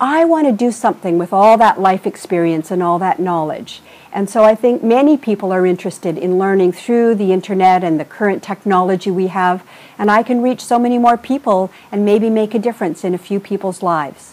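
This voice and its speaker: A woman speaks in a plain, everyday voice at a medium pitch. She talks at a fairly quick pace with ordinary pitch variation. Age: 60s. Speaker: vlogger, trainer and consultant. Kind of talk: video blog monologue.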